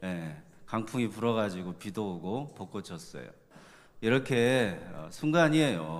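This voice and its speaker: A man speaks at a moderate pace in a fairly low voice. Audible room echo surrounds him. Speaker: pastor. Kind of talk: sermon. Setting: church.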